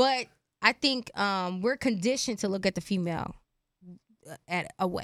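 A woman talks at a moderate pace and medium pitch with ordinary pitch variation, leaving long, frequent pauses. The sound is dry and close with no echo, in a very clean recording with a silent background. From Philadelphia. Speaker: podcast co-host. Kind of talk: casual chat. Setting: studio.

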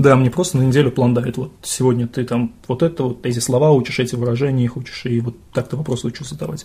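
Speaking very fast with hardly any pauses, a man with a slight Russian accent has a somewhat breathy, dark and mellow tone at medium pitch, with ordinary pitch variation. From Russia, Bashkortostan (Sterlitamak). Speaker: English teacher. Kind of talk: casual chat.

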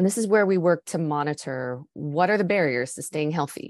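In a Canadian accent, a woman with a very deep, low pitch and a dark, mellow tone talks at a moderate pace with lively intonation, the sound dry and close with no echo against a quiet background. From Canada. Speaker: nonprofit program lead. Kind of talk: interview.

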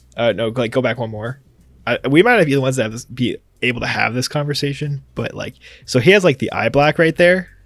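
This man has an ordinary speaking voice, medium in pitch with ordinary variation, and moves at a fairly quick pace. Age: 20s. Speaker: podcast co-host. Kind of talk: casual chat.

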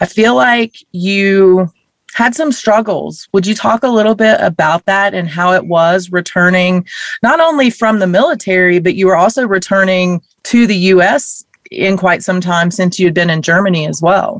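A woman speaks at a moderate pace with medium pitch. She has an unremarkable speaking voice. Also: ordinary pitch variation. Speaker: podcast host. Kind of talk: interview. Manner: warm, upbeat.

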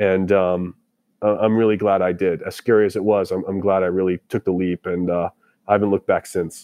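Delivered with an American accent, the speech has monotone, flat intonation. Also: man, very deep, low pitch for a man. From Boston, US. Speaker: tech startup founder and army veteran. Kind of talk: interview.

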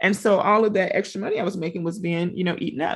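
With a Southern US accent, a woman of medium pitch speaks with ordinary pitch variation against a quiet background. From Louisiana. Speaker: teacher and business coach. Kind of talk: interview.

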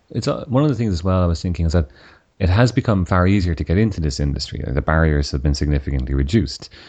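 Very deep and low, a man's voice rushes at a very fast pace with lively intonation in an Irish accent. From Ireland. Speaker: podcast host, software engineer. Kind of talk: interview.

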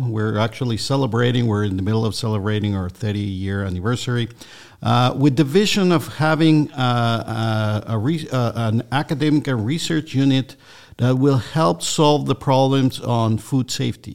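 A very clean recording with a silent background captures a man speaking at a moderate pace and medium pitch with ordinary pitch variation. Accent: Spanish. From Mexico. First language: Spanish. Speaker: food safety center director. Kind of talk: radio interview. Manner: halting, many fillers.

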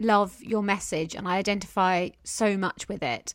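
A woman's unremarkable speaking voice, fairly high in pitch, at a moderate pace. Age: 30s. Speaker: podcast host and business mentor. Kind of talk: casual chat.

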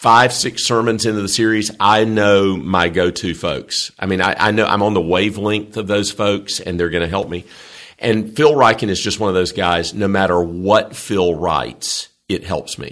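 Speaking at a moderate pace, a man has a Southern US accent. His pitch is fairly low and his intonation fairly even. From US South. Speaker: seminary chancellor and theology professor. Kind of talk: conversational Bible teaching interview.

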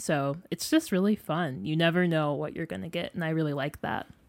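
In a very clean recording with a silent background, a woman speaks with an American accent at a very deep, low pitch. Her pitch varies in an ordinary way, and the sound is dry and close with no echo. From northern Illinois. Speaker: journalism student. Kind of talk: interview.

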